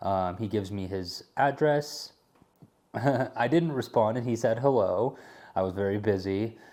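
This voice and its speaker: A man with a medium pitch and ordinary pitch variation talks at a fairly slow pace in a dark, mellow tone, recorded very cleanly against a silent background. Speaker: landscaping materials hauler and YouTuber. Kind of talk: casual tutorial vlog.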